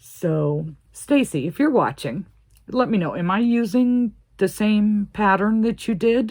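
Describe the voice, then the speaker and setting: Here is a woman with a plain, everyday voice and a fairly high pitch. She talks at a fairly slow pace with lively intonation and very even loudness. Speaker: crochet video creator. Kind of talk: crochet tutorial, casual chat. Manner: chatty, thinking aloud.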